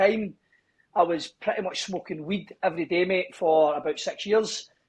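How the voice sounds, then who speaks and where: A man with a strong Scottish accent, high in pitch, with ordinary pitch variation. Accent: broad Scottish. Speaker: gym owner and personal trainer. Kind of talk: casual podcast interview.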